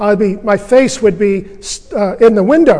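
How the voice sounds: In a natural reading voice, the speech carries ordinary pitch variation.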